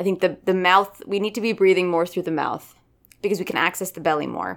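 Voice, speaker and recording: Delivered at a fairly quick pace, this is an ordinary speaking voice with ordinary pitch variation. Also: woman, very clean recording, silent background. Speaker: actor and voice coach. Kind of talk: interview.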